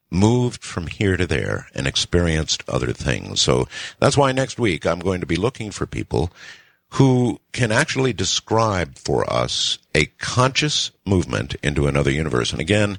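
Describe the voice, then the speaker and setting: With vocal fry and a very deep, low pitch, a man speaks at a moderate pace in very wide pitch swings, in a dry, close sound with no echo on a very clean recording with a silent background. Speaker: radio talk show host. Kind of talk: late-night radio show hosting. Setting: radio broadcast.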